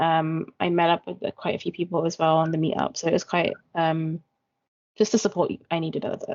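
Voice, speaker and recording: Fairly even intonation in a British accent. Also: woman, fairly low pitch for a woman. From UK. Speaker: peer facilitator. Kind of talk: interview answer.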